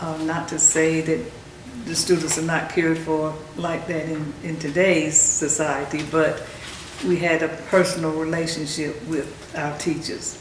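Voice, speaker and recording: A woman with a North Carolina accent, very deep and low-pitched, flat and monotone at a fairly slow pace, with audible room echo and noticeable background noise. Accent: Southern US (North Carolina). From US South, North Carolina (Carthage, Moore County). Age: 70s. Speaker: oral history interviewee. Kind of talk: oral history interview. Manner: halting, many fillers.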